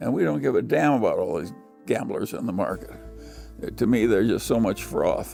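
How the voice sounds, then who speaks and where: A man talks at a moderate speed while music sounds in the background. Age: 80s+. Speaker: investor. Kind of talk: interview answer.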